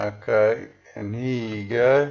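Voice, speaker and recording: Monotone, flat intonation marks this man's speech in an Australian accent, heard with audible room echo. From Western Australia. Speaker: video blogger. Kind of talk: casual commentary on a screen. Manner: casual with fillers.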